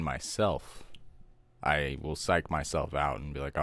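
On a very clean recording with a silent background, a man speaks at a fairly slow pace. Vocal fry colors his voice. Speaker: podcast co-host.

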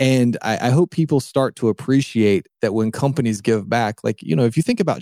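A man with an American accent speaks at a moderate pace in a medium pitch, his dark, mellow tone carrying ordinary pitch variation over a very clean recording with a silent background and a dry, close sound with no echo. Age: 40s. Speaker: entrepreneur. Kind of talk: interview conversation.

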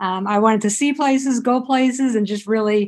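At a moderate pace, a woman speaks in a plain, everyday voice, fairly high in pitch, with fairly even intonation. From South Jersey, near Philadelphia. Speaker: author and physical therapist. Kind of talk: interview.

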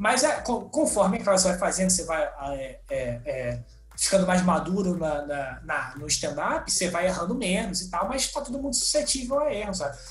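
Moving at a moderate pace with hardly any pauses, a man with a high pitch makes very wide pitch swings amid audible room echo and noticeable background noise. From Brazil, Rio de Janeiro. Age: 20s. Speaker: comedian and comedy writer. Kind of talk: casual interview chat. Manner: halting, repeats words.

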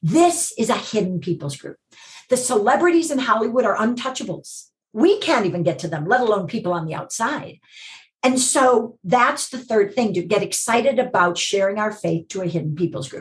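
A fairly high-pitched, somewhat breathy woman with an American accent, very wide pitch swings and a moderate pace. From US Midwest, Chicago. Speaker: TV producer and ministry director. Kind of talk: casual interview.

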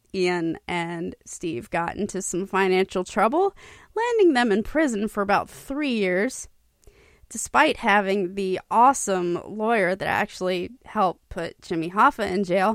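A woman speaks at a fairly slow pace in an animated, warm tone with ordinary pitch variation. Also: dry, close sound with no echo. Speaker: radio DJ. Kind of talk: radio DJ patter, upbeat intros to oldies tracks with trivia and sponsor reads. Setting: internet radio show, presented live from a studio. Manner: animated, chatty, high-energy, warm and enthusiastic; casual, folksy, with laughs and 'y'all'.

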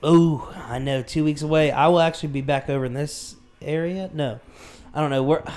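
This man has a fairly high pitch and a plain, everyday voice, talking at a fairly quick pace with fairly even intonation. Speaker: podcast co-host. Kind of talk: casual chat.

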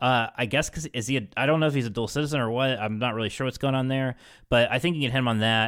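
Very fast speech comes through in a very clean recording with a silent background. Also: man. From West Virginia. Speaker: podcast host. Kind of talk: casual political commentary.

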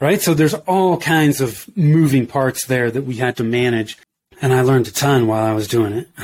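This man has a normal speaking voice with an American accent and a medium pitch. He talks at a moderate pace with ordinary pitch variation. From US West Coast, Bay Area. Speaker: entrepreneur, marketing business owner. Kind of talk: casual interview.

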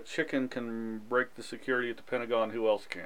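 This man talks at a very fast pace. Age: 40s. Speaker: podcast host. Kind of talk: casual chat; news reading.

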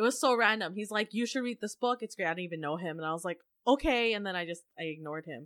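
Very fast, animated speech with lively intonation. The recording is very clean and dry, close with no echo against a silent background. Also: woman, medium pitch for a woman. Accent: Canadian. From Vancouver area, western Canada. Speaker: podcast host, former English teacher abroad. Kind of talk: casual interview chat.

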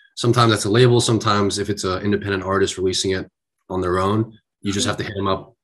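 The man's pitch is fairly low and his intonation flat and monotone. He talks very fast against a quiet background. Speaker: guest, aspiring music artist. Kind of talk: casual interview chat.

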